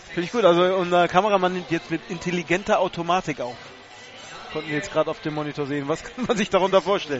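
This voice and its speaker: There is noticeable background noise. A man talks at a very fast pace with a high pitch. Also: ordinary pitch variation. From northern Germany. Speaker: radio color commentator. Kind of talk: live sports commentary. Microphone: crackling/noisy line.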